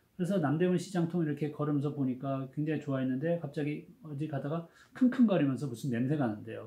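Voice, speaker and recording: The speech moves at a very fast pace with hardly any pauses. Pitch varies in an ordinary way. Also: man. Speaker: education professor. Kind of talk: lecture. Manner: casual, conversational storytelling.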